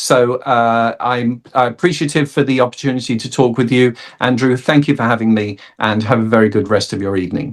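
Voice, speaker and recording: A man speaks at a fairly quick pace in a South London accent. His pitch sits in the medium range. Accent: South London accent, fully intact. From South London, England. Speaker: actor and comedian. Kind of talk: interview. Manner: hesitant, many fillers.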